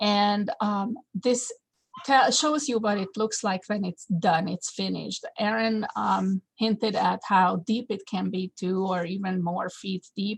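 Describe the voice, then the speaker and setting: With a non-native accent, a woman speaks at a very slow pace and medium pitch, somewhat breathy, with ordinary pitch variation in a dry, close sound with no echo. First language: not English. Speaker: landscape designer and horticulture teacher. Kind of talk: webinar presentation. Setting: video call webinar. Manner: halting, many fillers.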